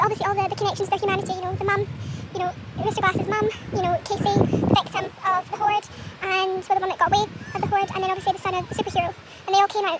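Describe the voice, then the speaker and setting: Against noticeable background noise, a soft-spoken woman with an extremely high voice races at a very fast pace in a monotone, flat intonation, broken by long, frequent pauses. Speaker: movie reviewer. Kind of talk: casual talk to camera. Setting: outdoors. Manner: quiet, soft-spoken.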